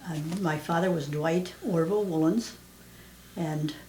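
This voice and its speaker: With an American accent and a fairly low pitch, a woman speaks at a moderate pace amid noticeable background noise and audible room echo. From southeastern Pennsylvania. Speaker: mother interviewed about her life. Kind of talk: oral history interview. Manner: halting, many fillers.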